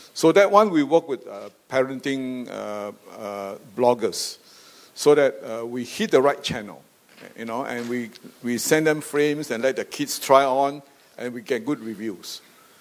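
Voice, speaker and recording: Speaking at medium pitch and a fairly slow pace, a man uses lively intonation while his loudness swings widely. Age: 60s. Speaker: optical company chairman. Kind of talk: panel discussion. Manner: halting, many fillers.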